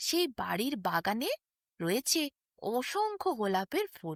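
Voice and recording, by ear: On a very clean recording with a silent background, the dry, close sound with no echo carries big pitch swings at a slow pace. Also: woman.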